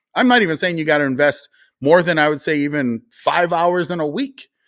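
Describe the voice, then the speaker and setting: A man speaks at a fairly quick pace in a North Dakota accent, his pitch fairly high. The recording is very clean, with a silent background. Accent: sounds like North Dakota. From rural North Dakota. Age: 40s. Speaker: conservative commentator and party official. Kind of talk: interview conversation.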